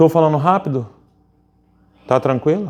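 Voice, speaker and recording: His pitch swings very widely. The man talks at a fairly slow pace. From Brazil, Rio de Janeiro. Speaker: pastor. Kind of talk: sermon. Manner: animated.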